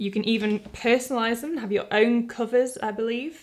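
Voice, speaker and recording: Someone with a British accent speaks with fairly even intonation against a quiet background. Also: woman. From UK. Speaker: artist and video creator; video creator. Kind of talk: product review tutorial. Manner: casual, conversational. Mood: warm, light-hearted. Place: home room.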